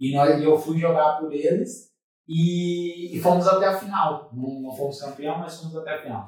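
Here is a man with an ordinary speaking voice at a fairly high pitch. He keeps a moderate pace and fairly even intonation. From Brazil, Santa Catarina (Tubarão). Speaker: former footballer and church ministry director. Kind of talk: interview testimony. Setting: studio.

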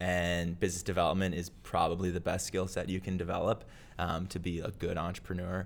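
Audible room echo around a male voice of very deep, low pitch. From US Midwest, Minneapolis, Minnesota. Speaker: tax software founder. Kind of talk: live event interview with Q&A. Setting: stage with live audience.

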